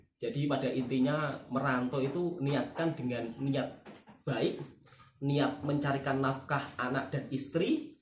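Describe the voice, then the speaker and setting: In a Javanese accent, a man speaks fairly slowly and somewhat breathily at a fairly high pitch, his intonation fairly even and his loudness very even, with audible room echo. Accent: Javanese accent when speaking Malay. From Java, Indonesia. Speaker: YouTube reaction channel host, migrant worker. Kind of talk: casual chat. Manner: conversational, seeks agreement often.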